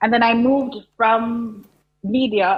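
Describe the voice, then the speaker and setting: A woman is speaking. She has a Jamaican accent. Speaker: content creator and business coach. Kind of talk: TV interview.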